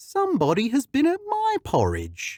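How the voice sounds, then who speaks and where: A put-on character voice comes at a moderate pace in a very clean recording, silent background. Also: man. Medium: read story.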